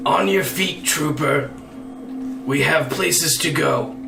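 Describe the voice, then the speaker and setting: A put-on character voice from a man, fairly high in pitch and fairly slow, against clear background noise. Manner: commanding.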